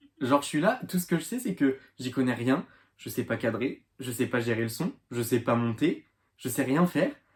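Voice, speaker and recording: At a moderate pace, a man with a medium pitch and ordinary pitch variation speaks in a somewhat breathy voice. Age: 20s. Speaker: beginner YouTuber. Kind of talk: casual vlog to camera. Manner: halting, hesitant.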